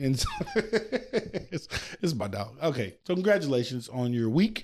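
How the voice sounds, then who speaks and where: Speaking at a fairly slow pace, the man sounds animated, with very wide pitch swings. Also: fairly high pitch for a man. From US South, Louisiana. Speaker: podcast host. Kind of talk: casual chat.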